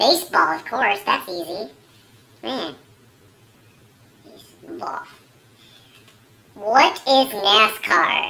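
A man puts on a character voice, high-pitched, raised and projected, with very wide pitch swings and big swings in loudness. He goes at a very slow pace with long, frequent pauses. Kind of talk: comedy sketch to camera. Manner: casual, hesitant.

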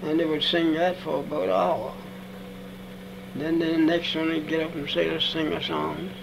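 Against noticeable background noise, a man with an American accent speaks at a moderate pace with long, frequent pauses. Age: 80s+. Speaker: former slave. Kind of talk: interview answer. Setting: old archival recording.

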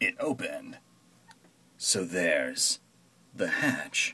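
Putting on a character voice, a man speaks very slowly in a bright, sharp tone with a slightly husky edge and big swings in pitch.

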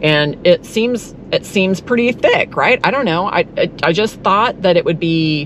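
Over faint background noise, a woman speaks at a fairly low pitch and fairly slow pace, with lively intonation.

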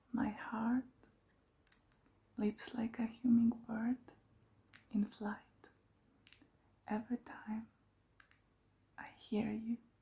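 A soft-spoken woman's dark, mellow monotone with flat intonation and long, frequent pauses. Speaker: vlogger reading old letters. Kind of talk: reading letters aloud with casual comments. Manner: soft, slow ASMR reading voice. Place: home room. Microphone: phone near.

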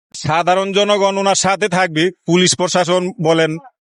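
A man speaks in a high pitch, the sound dry and close with no echo. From Bangladesh, Narayanganj (Sonargaon). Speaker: protest movement activist. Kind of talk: street interview.

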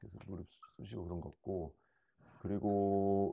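Speaking with a Korean-American accent, a man with a very deep, low pitch goes at a fairly slow pace. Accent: fake Korean-American (gyopo) accent in Korean. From South Korea. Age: 40s. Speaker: reality show cast member; interviewee. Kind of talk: interview. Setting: at host's home. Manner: halting. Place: home room.

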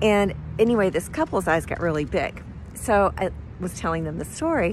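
A moderate pace in a dry sound with no echo, over noticeable background noise. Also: woman. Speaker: storyteller. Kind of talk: casual vlog storytelling. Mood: warm, amused. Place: street. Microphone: phone near.

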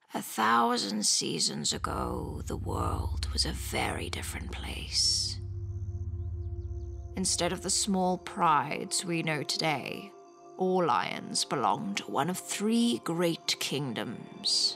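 A cartoonish character voice speaks very slowly. Faint music plays in the background. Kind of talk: legend storytelling.

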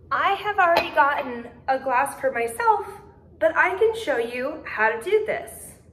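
Over light background noise with audible room echo, a woman with an American accent speaks at a very slow pace with very wide pitch swings. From US South. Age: 20s. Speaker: YouTuber. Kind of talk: tutorial. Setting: at home, kitchen. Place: kitchen. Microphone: phone near.

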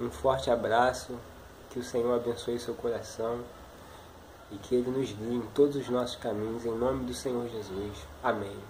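A man's medium-pitched voice at a moderate pace, with fairly even intonation over light background noise. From Brazil. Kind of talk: preacher exhortation, encouraging sermon-like address to viewer. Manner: earnest, warm, pleading; steady, urging, repetitive. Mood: earnest, compassionate. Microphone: webcam.

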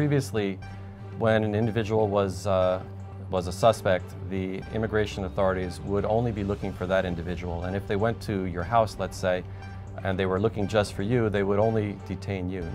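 A man speaks at a fairly quick pace with fairly low pitch and fairly even intonation. Music plays clearly in the background. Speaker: immigration lawyer. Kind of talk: interview answer. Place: studio.

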